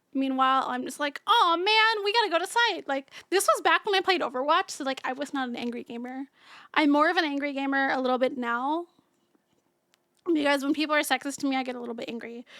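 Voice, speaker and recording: Projecting a raised voice, a woman talks very fast in an animated tone with lively intonation, a high pitch and a bright, sharp tone, in a dry, close sound with no echo. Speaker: vtuber streamer. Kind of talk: casual chat. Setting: livestream.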